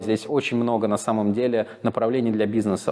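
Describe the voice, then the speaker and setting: A man talks at a fairly quick pace with a medium pitch. His tone is dark and mellow, and his intonation is fairly even. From Moscow, Russia. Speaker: relocated entrepreneur. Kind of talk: interview.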